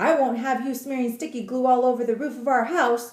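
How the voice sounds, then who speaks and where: In a put-on character voice, the speaker growls at a fairly quick pace with fairly even intonation. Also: woman, high pitch for a woman. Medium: read story.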